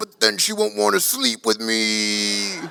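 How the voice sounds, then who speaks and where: In a put-on character voice, a man speaks at a fairly low pitch and a fairly slow pace. His intonation stays fairly even. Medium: stage play. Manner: cocky, carefree.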